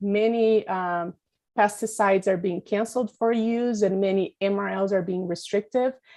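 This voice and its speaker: A woman's dark, mellow voice in a flat monotone, over a quiet background. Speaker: pesticide regulation expert. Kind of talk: webinar presentation.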